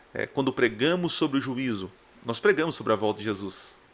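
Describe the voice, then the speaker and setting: A man with an unremarkable speaking voice talks at medium pitch with lively intonation. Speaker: preacher. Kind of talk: sermon.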